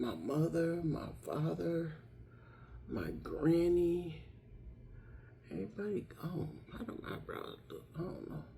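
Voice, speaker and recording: Very slow speech with long, frequent pauses and audible room echo. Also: woman. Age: 60s. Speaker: lifestyle vlogger. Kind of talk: casual makeup tutorial. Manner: chatty, conversational.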